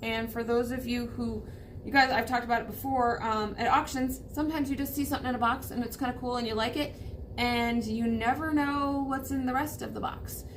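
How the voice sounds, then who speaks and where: Delivered at a fairly quick pace with fairly even intonation, the speech carries audible room echo. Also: woman, high pitch for a woman. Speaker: vintage shop owner. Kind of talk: casual show-and-tell video. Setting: in her shop, crowded new setup. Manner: fast.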